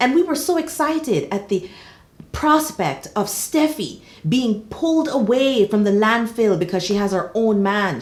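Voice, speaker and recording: The speech comes in a Jamaican accent with an animated tone. It moves at a fairly slow pace. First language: Jamaican Patois. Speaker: soap opera commentator. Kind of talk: casual vlog commentary.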